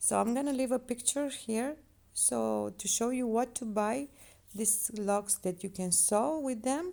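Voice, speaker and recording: A woman with a non-native accent talks at a fairly slow pace with ordinary pitch variation. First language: not English. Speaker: crochet tutorial maker. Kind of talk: tutorial.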